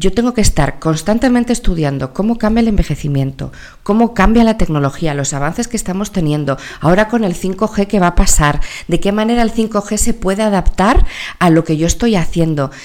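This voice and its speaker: A woman talks in an animated tone at a fairly quick pace. Her medium-pitched voice has lively intonation. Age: 40s. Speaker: entrepreneur and company founder in elderly care. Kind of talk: interview.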